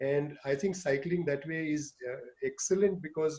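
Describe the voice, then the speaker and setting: He has an ordinary speaking voice, set at a fairly high pitch. His pace is moderate, and his pitch variation is ordinary. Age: 60s. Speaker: urologist and cycling teacher. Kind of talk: online talk to seniors.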